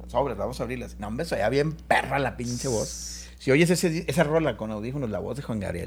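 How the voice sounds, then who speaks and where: A man talks at a fairly quick pace. Room echo can be heard around his voice. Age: 50s. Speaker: musician. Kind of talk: casual chat.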